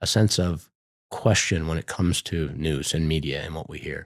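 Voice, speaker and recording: On a very clean recording with a silent background, a man speaks at a moderate pace with vocal fry in a dry, close sound with no echo. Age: 60s. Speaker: business executive. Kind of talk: casual interview. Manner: halting, many repeated words.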